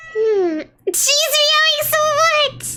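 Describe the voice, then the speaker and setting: A woman puts on a squeaky character voice at an extremely high pitch. Music plays in the background. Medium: virtual streamer. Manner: bubbly, chatty.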